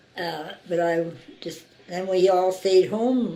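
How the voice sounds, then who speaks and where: A woman's fairly low-pitched voice with audible room echo. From Saskatchewan, Canada. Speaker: local resident interviewee. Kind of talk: oral history interview. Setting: interviewee's home.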